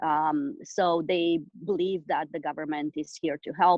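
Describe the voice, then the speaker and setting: This woman speaks with a Romanian accent. Her pitch is very deep and low. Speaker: business owner. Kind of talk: interview. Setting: call. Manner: halting, many fillers.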